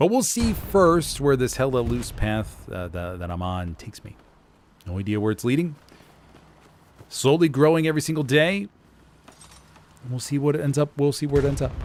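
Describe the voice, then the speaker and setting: Using very wide pitch swings and big swings in loudness, a man with a fairly high voice speaks at a moderate pace with long, frequent pauses. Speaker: streamer; voice actor. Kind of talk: casual gaming chat. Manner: casual, rambling.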